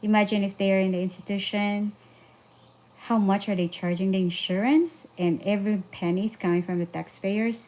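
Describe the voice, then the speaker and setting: In a Filipino accent, a woman speaks at a moderate pace with a dark, mellow tone and fairly even intonation. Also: medium pitch for a woman. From Philippines. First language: Filipino language. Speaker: parenting vlogger. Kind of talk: casual live stream talk. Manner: halting with fillers.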